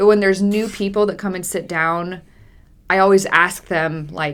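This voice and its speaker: A woman at a medium pitch and a moderate pace. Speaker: college football podcast co-host. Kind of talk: casual chat. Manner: loud; animated.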